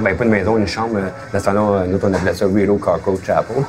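A man speaks in a very deep, low voice at a fairly quick pace. Noticeable background noise is present. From Quebec, Hull (Gatineau). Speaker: former gang member. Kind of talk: interview testimony. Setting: restaurant. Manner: halting.

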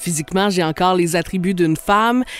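The sound is dry and close with no echo. A man speaks at a high pitch. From Outaouais, Quebec (Gatineau). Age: 30s. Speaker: radio host and podcaster. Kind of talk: scripted narration.

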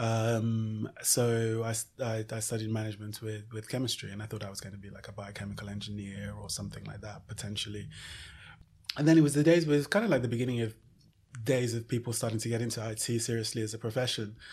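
Somewhat breathy, a man talks at a very fast pace and medium pitch. His intonation is fairly even, though his loudness swings a lot. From Nigeria (Lagos) and UK (London). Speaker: fashion entrepreneur. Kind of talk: interview. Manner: halting, many fillers and repetitions.

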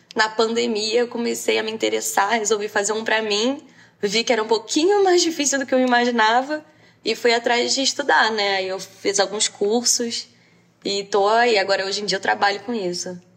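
This woman has an ordinary speaking voice, fairly high in pitch, with ordinary pitch variation at a moderate pace. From Brazil, Rio de Janeiro. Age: 20s. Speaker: law student and AR filter creator. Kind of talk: interview.

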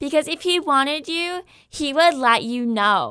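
A put-on character voice with a bright, sharp tone moves through lively intonation at a fairly slow pace. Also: woman, high pitch for a woman.

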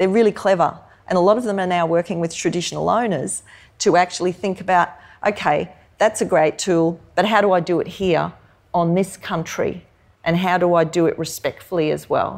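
A woman speaks with an Australian accent at a fairly quick pace, her pitch fairly low. Her intonation stays fairly even on a very clean recording with a silent background. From Queensland, Australia (Hervey Bay). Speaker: professor and food activist. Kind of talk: live on-stage interview. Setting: stage with live audience in museum hall.

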